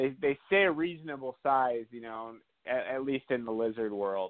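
Speaking at a fairly slow pace with an American accent, a man has an unremarkable speaking voice of medium pitch with ordinary pitch variation. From US Midwest, South Dakota. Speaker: reptile breeder. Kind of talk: interview.

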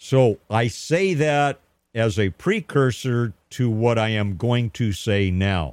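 A man speaks at a very slow pace with medium pitch, lively intonation and very even loudness, on a very clean recording with a silent background. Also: dry, close sound with no echo. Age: 60s. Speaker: radio talk show host. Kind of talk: talk radio monologue. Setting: radio studio. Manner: hesitant, many filler words.

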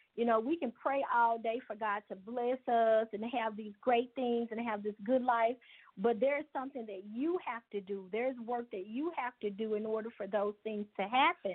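A normal speaking voice at a moderate pace, with ordinary pitch variation and hardly any pauses. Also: woman, fairly high pitch for a woman. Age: 50s. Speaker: business owner. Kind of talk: interview.

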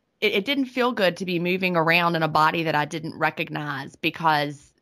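In a very clean recording with a silent background, a woman with a Southern US accent and a fairly low pitch talks at a fairly quick pace. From US South. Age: 40s. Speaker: author and retired teacher. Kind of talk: interview.

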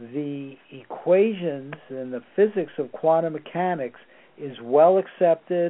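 A man talks at a very slow pace. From Southern California (Torrance), born in New York City. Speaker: remote viewing researcher and physicist. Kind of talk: radio interview.

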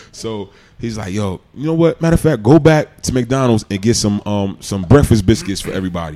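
Lively intonation marks a man speaking in a New York accent. His voice has a dark, mellow tone. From New York City, Queens. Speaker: retired NFL player. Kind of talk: casual chat. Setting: studio.

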